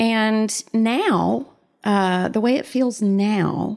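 A woman with a Southern US accent speaks in a dark, mellow tone, her pitch varying in an ordinary way. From US South. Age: 50s. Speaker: mother, guest. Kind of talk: casual interview.

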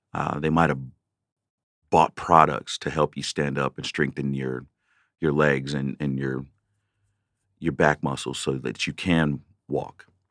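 The speaker has an American accent, vocal fry, and monotone, flat intonation. Long, frequent pauses break up the speech, and the sound is dry and close with no echo. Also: man, very deep, low pitch for a man, fairly slow pace. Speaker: podcast host and veteran. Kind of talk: solo rant, heartfelt and confessional, talking to listeners. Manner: conversational, earnest, with frequent fillers.

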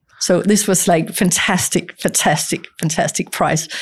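Moderate pace and a somewhat breathy quality in a woman's voice. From Denmark. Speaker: film producer. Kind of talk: interview conversation.

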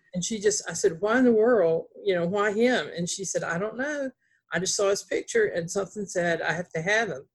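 Somewhat breathy and at medium pitch, a woman in a Southern US accent talks at a fairly quick pace with ordinary pitch variation. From North Carolina, US South. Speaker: author, former reporter's boss. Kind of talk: casual interview chat. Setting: video call.

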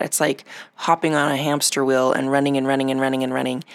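A woman speaks in a warm tone with a very deep, low pitch. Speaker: podcast host. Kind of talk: solo podcast monologue. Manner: warm, encouraging.

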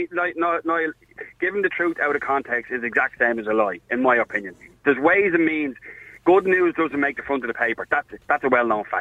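A man's fairly high-pitched, very fast speech with lively intonation in an Irish accent. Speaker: caller, bar worker and referee. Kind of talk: phone-in discussion. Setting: phone call.

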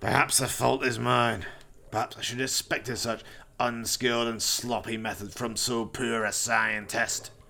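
In a monotone, flat intonation, a man speaks at a medium pitch and a moderate pace. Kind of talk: melodramatic horror villain. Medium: audio drama. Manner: sneering, mocking, imperious.

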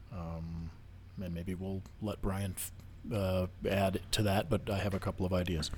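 A man's very deep, low, somewhat breathy voice in monotone, flat intonation, at a fairly slow pace with long, frequent pauses. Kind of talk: casual chat.

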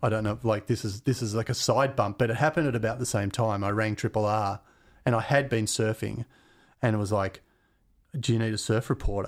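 A man with an Australian accent speaks fairly quickly at a medium pitch, his intonation fairly even. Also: very clean recording, silent background. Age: 50s. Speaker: radio DJ and musician. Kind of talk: casual chat.

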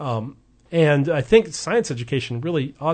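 A man talks in an American accent. His voice is somewhat breathy, with fairly even intonation. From US West Coast, Oregon. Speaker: evolutionary biologist. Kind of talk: radio interview. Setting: radio studio.

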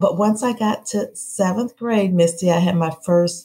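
A woman speaks at a fairly slow pace in an American accent, her pitch fairly low. The tone is dark and mellow, somewhat breathy. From US Midwest (Peoria, Illinois). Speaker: city mayor. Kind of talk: interview.

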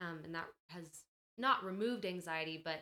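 A woman's bright, sharp voice at a fairly low pitch, with an American accent, ordinary pitch variation and a moderate pace. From Colorado. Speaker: worship pastor. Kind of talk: casual interview chat. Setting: studio.

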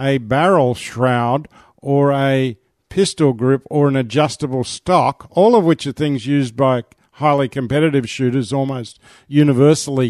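With a dry, close sound with no echo and a quiet background, a man with an Australian accent speaks at a fairly high pitch with ordinary pitch variation. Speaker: shooters' association representative. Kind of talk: interview.

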